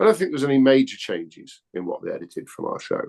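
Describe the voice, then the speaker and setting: With an English accent, a man speaks at a very fast pace in a dry, close recording with no echo. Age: 60s. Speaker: actor. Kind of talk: casual chat.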